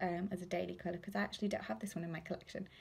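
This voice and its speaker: A woman's voice with vocal fry. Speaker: lip product seller. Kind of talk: casual live unboxing chat. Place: home room. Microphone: phone near.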